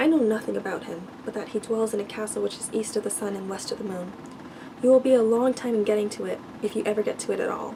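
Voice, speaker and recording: Soft-spoken and fairly quick, a woman talks at a fairly high pitch with fairly even intonation over noticeable background noise. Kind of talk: fairy tale reading.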